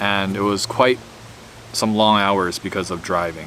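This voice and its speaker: Over noticeable background noise, a man with a fairly low pitch talks at a moderate pace. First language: Mandarin. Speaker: YouTuber, former scientist. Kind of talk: casual monologue. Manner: rambling with fillers.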